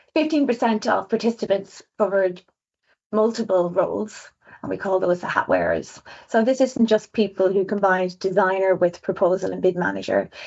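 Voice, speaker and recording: A woman talks with an Irish accent. Vocal fry creaks through her words. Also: medium pitch for a woman, ordinary pitch variation. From Ireland. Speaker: designer. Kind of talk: webinar presentation. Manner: fast.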